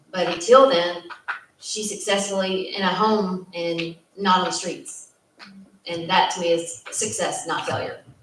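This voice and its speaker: Audible room echo around a woman's medium pitch and ordinary pitch variation. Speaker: youth housing social worker. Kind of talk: panel discussion. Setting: community meeting at a church.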